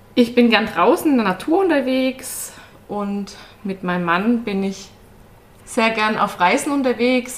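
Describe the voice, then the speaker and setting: At a fairly slow pace, a woman speaks in an unremarkable speaking voice with ordinary pitch variation. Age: 30s. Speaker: controller in energy sector, podcast guest. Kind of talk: casual interview. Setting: studio, sitting next to husband.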